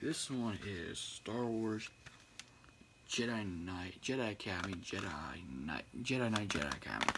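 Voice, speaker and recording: With noticeable background noise behind him, a man speaks very slowly at a fairly low pitch with lively intonation. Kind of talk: ASMR-style casual talk to camera about video games. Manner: quiet, soft-spoken.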